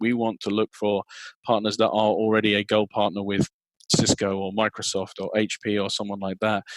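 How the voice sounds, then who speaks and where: Recorded dry and close with no echo, a man with an English accent and a fairly low pitch talks at a fairly quick pace. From England. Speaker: sales and marketing executive. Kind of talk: interview. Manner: halting, many repeated words.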